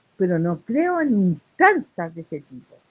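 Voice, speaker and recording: A woman speaks with very wide pitch swings. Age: 60s. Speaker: human rights activist. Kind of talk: interview. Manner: animated.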